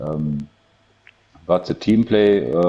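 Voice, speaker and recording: With a German accent, the voice carries a dark, mellow tone and ordinary pitch variation. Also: man. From Germany. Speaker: gamer. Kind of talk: casual interview. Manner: halting.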